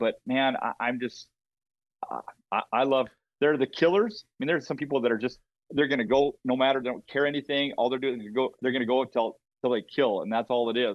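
Talking at a fairly quick pace, a man with an Upper Midwest accent shows ordinary pitch variation. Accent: Upper Midwest (Minnesota). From Minnesota. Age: 50s. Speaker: brand marketer in the outdoor industry. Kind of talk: casual chat interview. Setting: remote call from a hunting camp.

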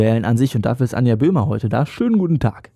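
This man has a dark, mellow tone and a somewhat breathy voice at medium pitch. His pitch variation is ordinary. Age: young. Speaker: podcast host. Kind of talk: casual interview; scripted intro.

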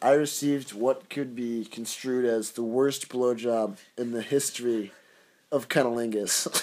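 Delivered at a fairly slow pace in an American accent, the speech is monotone and flat in intonation. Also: man, medium pitch for a man. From United States. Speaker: podcast co-host, intern. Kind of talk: casual chat.

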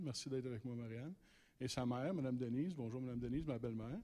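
This man's tone is dark and mellow, his pitch medium. He talks at a fairly quick pace with fairly even intonation. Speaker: ministry representative presenting a rehabilitation program. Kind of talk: church presentation. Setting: church.

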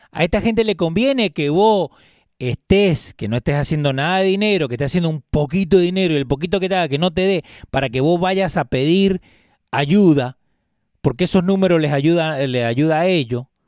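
A man speaks at a moderate pace with lively intonation and a high pitch. The sound is dry and close, with no echo. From Jersey City, New Jersey (born in Argentina, arrived at nine). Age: 30s. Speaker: podcast host. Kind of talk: casual chat.

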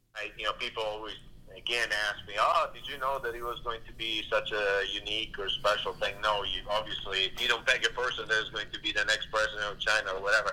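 A man with an Italian accent at a very fast pace, with hardly any pauses. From Italy. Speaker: trade official. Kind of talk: interview. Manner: halting with many fillers.

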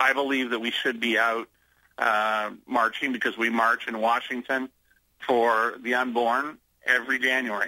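With an American accent, a man of medium pitch speaks at a moderate pace in a bright, sharp tone and monotone, flat intonation. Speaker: pastor. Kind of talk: radio interview.

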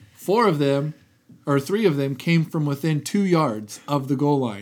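A man speaks in a plain, everyday voice at a moderate pace. His pitch is fairly high and his intonation lively. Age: 20s. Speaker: sports podcast co-host. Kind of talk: casual chat.

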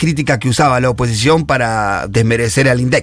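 A man talks at a moderate pace with ordinary pitch variation. Noticeable background noise runs under the recording. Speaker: social activist columnist. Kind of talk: radio column discussion.

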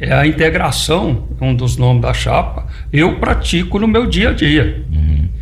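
A man talks at a very slow pace with very even loudness. Audible room echo and noticeable background noise fill the recording. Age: 70s. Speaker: farmer and electrical engineer. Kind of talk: radio interview.

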